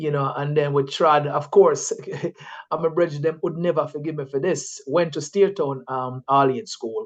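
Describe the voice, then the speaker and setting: A man's fairly high voice with a Jamaican accent, ordinary pitch variation and a fairly slow pace. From Jamaica, St. Ann north coast. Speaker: scientist and environmental activist. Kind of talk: interview. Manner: casual, many fillers.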